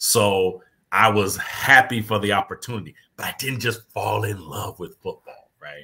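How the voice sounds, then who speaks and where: With a normal speaking voice, a man talks at a moderate pace and fairly low pitch, showing ordinary pitch variation and big swings in loudness. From Kansas, US. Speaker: former pro football player, players' affairs director. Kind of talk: interview. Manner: repetitive false starts.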